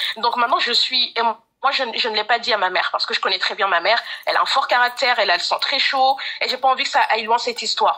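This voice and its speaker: Very fast and high-pitched, a woman speaks with ordinary pitch variation. There is noticeable background noise. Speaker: caller seeking advice. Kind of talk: testimony.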